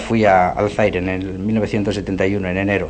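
A man's voice over noticeable background noise. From Navarre, Spain (Puente la Reina). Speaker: missionary. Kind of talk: radio interview. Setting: radio studio.

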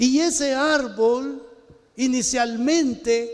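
The speaker's fairly even intonation carries through audible room echo. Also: man. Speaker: pastor. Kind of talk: sermon.

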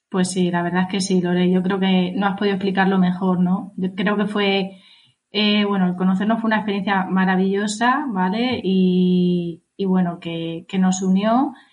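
Fairly even intonation and a somewhat breathy sound. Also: woman, medium pitch for a woman, moderate pace. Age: 30s. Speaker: podcast co-host, health coach. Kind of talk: casual chat. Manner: halting.

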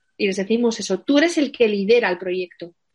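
A woman talks at a moderate pace in a fairly high pitch. Music plays in the background. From Asturias, Spain. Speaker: wedding planner. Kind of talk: interview.

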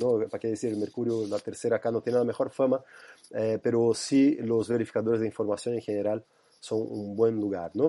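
Against a quiet background, a man in a Portuguese accent speaks fairly quickly at a medium pitch, with a dark, mellow tone and flat, monotone intonation. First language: Portuguese (speaking Spanish). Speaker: researcher. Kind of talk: interview. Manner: halting.

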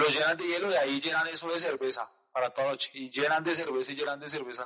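A man speaks with a strong Colombian accent. His pitch is fairly high. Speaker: podcast host. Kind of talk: casual chat.

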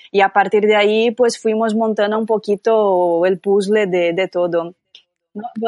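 With a Brazilian accent, a woman speaks at medium pitch and a fairly slow pace. Her intonation is monotone and flat. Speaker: yarn shop owner and festival organizer. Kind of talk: casual chat.

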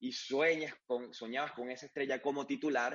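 Using an ordinary speaking voice, a man talks at a moderate pace with a fairly high pitch. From Venezuela, Mérida. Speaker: sports journalist. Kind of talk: interview.

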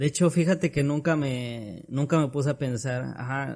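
A man at medium pitch and a fairly slow pace. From Tlaxcala, Mexico. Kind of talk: casual chat.

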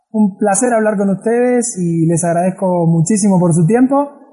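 A dark, mellow tone at a moderate pace, with very even loudness and ordinary pitch variation. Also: man. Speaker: travel podcast host. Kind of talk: interview. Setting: remote call.

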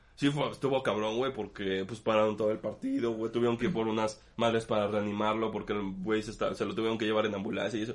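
Speaking with a Mexican accent, a man talks at a very fast pace with hardly any pauses. His fairly low voice keeps a fairly even intonation. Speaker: podcast co-host. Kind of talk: casual chat.

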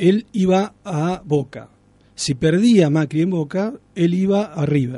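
Against a quiet background, a man speaks with a high pitch, ordinary pitch variation and a dark, mellow tone. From Argentina, Santa Fe province (Alcorta). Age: 30s. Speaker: writer. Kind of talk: radio interview.

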